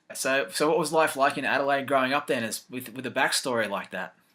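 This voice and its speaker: This man's voice sits at medium pitch, bright and sharp in tone, with ordinary pitch variation. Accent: Australian. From Australia, Gold Coast. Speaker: interviewer. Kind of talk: interview.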